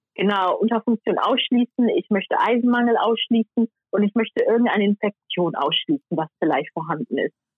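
With a plain, everyday voice, a woman speaks at a fairly high pitch with lively intonation. Her loudness stays very even, and there are hardly any pauses. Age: 20s. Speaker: YouTuber on hair care. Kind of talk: casual interview chat. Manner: many fillers.

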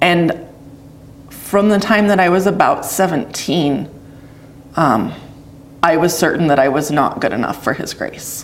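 A woman with a western US accent speaks at a fairly low pitch with ordinary pitch variation. Noticeable background noise and audible room echo are present. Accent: western American. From Idaho, US. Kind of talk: testimony interview.

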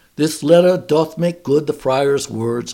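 This is a put-on character voice at a fairly slow pace. The intonation stays fairly even. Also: man, fairly high pitch for a man. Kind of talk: archaic, theatrical.

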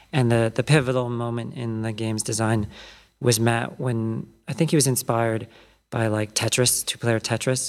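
Speaking at a moderate pace with an American accent, a man keeps a medium pitch and fairly even intonation. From US, California Bay Area and East Coast. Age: 30s. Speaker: independent game developer. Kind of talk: interview. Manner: halting, many fillers.

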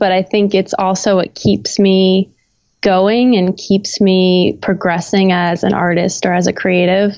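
With an American accent, a woman talks at a moderate pace and a medium pitch. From Florida, US South. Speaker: photographer and creative director. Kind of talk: casual interview chat.

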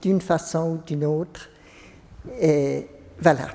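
A woman speaks with monotone, flat intonation. Her pace is very slow. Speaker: parishioner. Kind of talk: testimony. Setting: church. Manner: halting.

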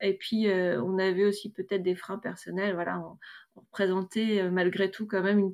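A plain, everyday voice with fairly even intonation and a moderate pace, in a very clean recording with a silent background. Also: woman. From northern France, Roubaix. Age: 30s. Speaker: grocery shop co-owner, entrepreneur. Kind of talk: testimony.

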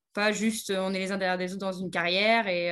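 A woman speaks at a moderate pace and medium pitch in a plain, everyday voice. The background is quiet. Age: 30s. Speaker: horse trainer. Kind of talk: interview.

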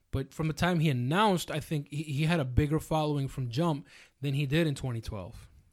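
A man with a normal speaking voice talks at a fairly quick pace. His pitch is fairly high with ordinary variation, recorded very cleanly over a silent background. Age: 20s. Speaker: podcast host. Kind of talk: casual chat.

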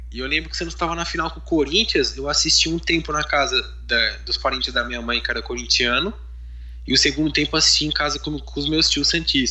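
Noticeable background noise accompanies a man speaking at a fairly quick clip. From São Paulo, East Zone. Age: 20s. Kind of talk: casual chat.

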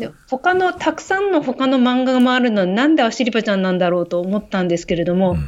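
A woman's fairly high voice with very wide pitch swings at a fairly quick pace, against a quiet background. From Hokkaido, Japan. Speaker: doctor and graduate student. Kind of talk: casual chat.

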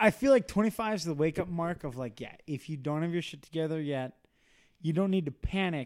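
This man has a normal speaking voice, fairly high in pitch, and talks at a fairly quick pace. His intonation is lively and his loudness swings widely. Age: 20s. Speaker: podcast co-host. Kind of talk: casual chat.

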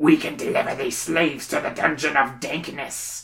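A raspy, gruff, put-on character voice at a middle pitch. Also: moderate pace. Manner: gruff, grunting.

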